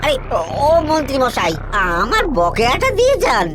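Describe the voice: Here is a cartoonish character voice. Loud background noise is present. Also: moderate pace.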